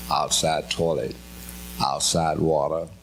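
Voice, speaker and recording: A man speaks at a fairly slow pace with audible room echo and noticeable background noise. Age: 80s+. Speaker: pastor. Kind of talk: personal testimony. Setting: stage with audience.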